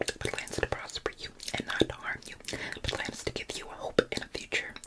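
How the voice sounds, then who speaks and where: Whispering over noticeable background noise, a woman talks at a fairly quick pace in a relaxed tone. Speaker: ASMR creator and Bible study host. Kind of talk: ASMR Bible study ramble to camera. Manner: soft, relaxed, conversational.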